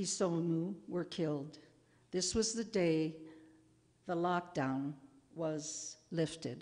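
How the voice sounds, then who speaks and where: A woman speaks with an American accent in a fairly low, dark and mellow voice with ordinary pitch variation. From Chicago, US Midwest. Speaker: humanities scholar and presenter; presenter. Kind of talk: public presentation with readings. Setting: museum event with audience. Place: classroom. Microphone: podium.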